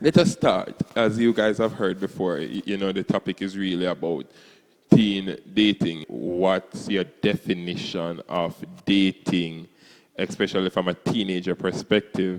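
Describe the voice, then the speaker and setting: Fairly slow and fairly even in intonation, a man's very deep, low voice comes through dry and close with no echo. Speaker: church youth panel moderator. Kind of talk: panel discussion. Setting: church.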